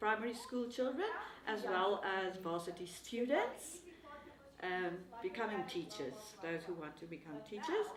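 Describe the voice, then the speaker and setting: A woman in a South African accent, medium pitch, lively intonation, and long, frequent pauses, with audible room echo and noticeable background noise. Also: moderate pace. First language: Afrikaans. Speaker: language teacher. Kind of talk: interview. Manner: halting.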